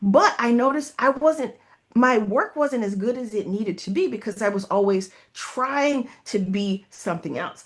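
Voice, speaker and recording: With an American accent, a woman speaks at a fairly slow pace with lively intonation. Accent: Southern US accent, varies in strength. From US South. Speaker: leadership coach and consultant. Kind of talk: interview.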